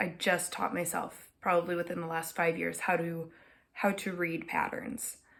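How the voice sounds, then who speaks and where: A woman with an American accent speaks at a fairly low pitch in a somewhat breathy voice. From Minnesota. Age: 20s. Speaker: knitting podcaster. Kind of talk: casual chat. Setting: at home. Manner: frequent filler words.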